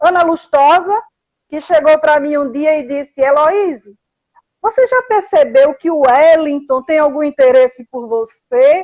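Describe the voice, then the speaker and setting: A woman with a high pitch and lively intonation is heard in a dry, close sound with no echo. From Brazil, Paraíba (João Pessoa). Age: 50s. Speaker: journalist. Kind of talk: casual chat. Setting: house.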